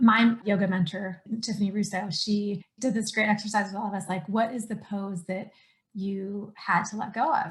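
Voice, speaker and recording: A somewhat breathy woman's voice at medium pitch. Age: 40s. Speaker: podcast host and coach. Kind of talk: casual chat.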